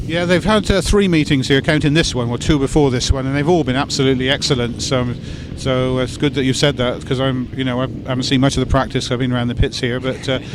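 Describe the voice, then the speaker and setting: Over noticeable background noise, a man talks at a very fast pace with hardly any pauses. His medium pitch shows ordinary variation. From West Country. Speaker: event interviewer. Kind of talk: interview.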